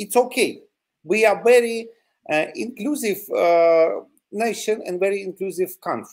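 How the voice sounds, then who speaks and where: A man with a Ukrainian accent, high pitch and lively intonation at a fairly slow pace, on a very clean recording with a silent background. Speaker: territorial defense volunteer. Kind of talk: interview. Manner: halting, many fillers.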